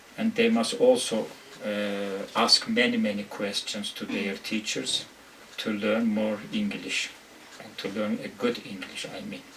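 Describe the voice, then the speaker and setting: The speech comes at a fairly slow pace, with big swings in loudness and noticeable background noise. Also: man. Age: 50s. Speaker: university English lecturer. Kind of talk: interview. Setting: office. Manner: halting, many hesitations.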